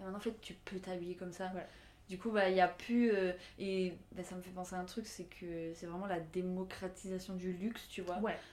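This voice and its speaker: In a room with audible echo, a woman of medium pitch talks at a moderate pace with monotone, flat intonation. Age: 20s. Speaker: fashion student. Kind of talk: casual chat.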